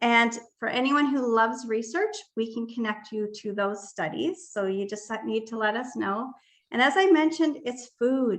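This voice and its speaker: A woman's fairly high voice, a normal speaking voice, with ordinary pitch variation. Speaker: wellness product presenter. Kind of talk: sales pitch.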